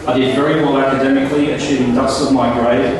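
A man at a moderate pace with ordinary pitch variation, in strong room echo over light background noise. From Palestine. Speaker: MC. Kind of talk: formal event speech. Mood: proud, reflective. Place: hall.

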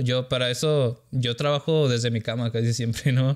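Over a quiet background, a man speaks at medium pitch with fairly even intonation. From Sonora, northern Mexico. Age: 30s. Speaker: content creator. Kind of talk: casual interview chat. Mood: relaxed, conversational. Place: studio. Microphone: studio mic.

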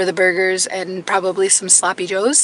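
Over noticeable background noise, a woman's medium-pitched voice moves at a moderate pace. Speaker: homesteading vlogger. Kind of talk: casual vlog talk.

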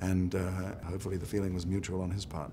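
Background noise is noticeable as a man talks with a very deep, low pitch. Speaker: film actor interviewee. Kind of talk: interview answer. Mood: calm, thoughtful. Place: home room.

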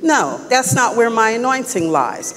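Against light background noise, a woman speaks at a moderate pace with lively intonation. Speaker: preacher. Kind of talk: sermon. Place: church.

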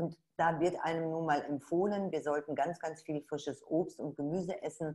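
A woman with a very deep, low pitch and a dark, mellow tone speaks at a moderate pace with hardly any pauses. The background is quiet. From Ruhr area, Dortmund; Ruhr area, Germany. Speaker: webinar host, network marketer; presenter. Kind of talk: sales webinar. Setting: online webinar. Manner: animated. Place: home room. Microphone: webcam.

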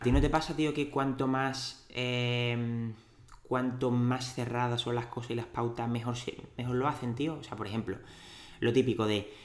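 This man has an Andalusian accent and a medium-pitched voice. He speaks at a fairly slow pace with fairly even intonation. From Andalusia, Cádiz city. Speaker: dietitian and podcast host. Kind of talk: interview. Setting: in-person studio at clinic.

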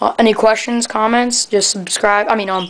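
Light background noise sits behind a woman's voice. She talks at a fairly quick pace with monotone, flat intonation. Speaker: reptile hobbyist video maker. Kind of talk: tutorial. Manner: fast; casual. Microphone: phone near.

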